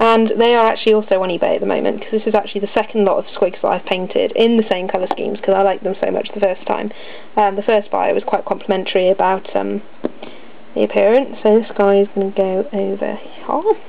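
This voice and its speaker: A woman speaks at a fairly quick pace yet leaves long, frequent pauses. Noticeable background noise is audible. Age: 20s. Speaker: miniature painter and wargamer. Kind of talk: casual talk to camera.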